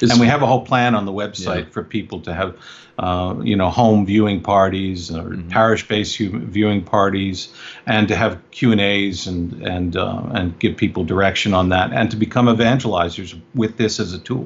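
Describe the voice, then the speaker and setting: A man talks at a fairly quick pace with a fairly low pitch. His is a plain, everyday voice. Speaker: filmmaker. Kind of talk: interview. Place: home room. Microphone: video call.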